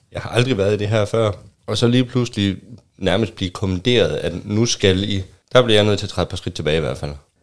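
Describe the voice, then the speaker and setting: Pitched fairly low, a man talks at a very fast pace. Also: ordinary pitch variation. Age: 30s. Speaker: newcomer to open relationships. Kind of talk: casual chat. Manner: halting.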